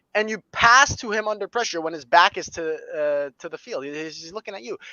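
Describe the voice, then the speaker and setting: A man with a high voice talks fairly quickly in an animated tone, his intonation lively and his loudness swinging widely. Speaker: football fan podcast host. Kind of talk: casual chat. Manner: fast.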